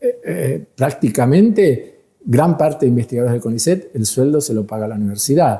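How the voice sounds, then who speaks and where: A man talks at a fairly quick pace with lively intonation. His voice is somewhat breathy, with a dark, mellow tone. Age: 70s. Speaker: molecular biologist. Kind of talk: interview.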